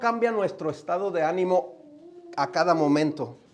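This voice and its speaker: Ordinary pitch variation and a moderate pace mark this man's speech, heard over noticeable background noise. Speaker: guest preacher. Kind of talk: sermon. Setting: church.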